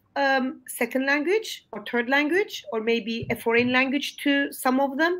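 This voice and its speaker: Lively intonation marks a woman's high voice as she speaks at a fairly slow pace in a Turkish accent. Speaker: English language teacher. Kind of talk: webinar discussion. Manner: halting, many fillers.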